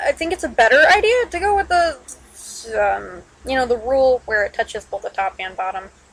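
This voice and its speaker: A woman speaks loudly at a high pitch and a fairly quick pace. Her pitch swings very widely. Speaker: digital artist. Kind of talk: drawing tutorial talk.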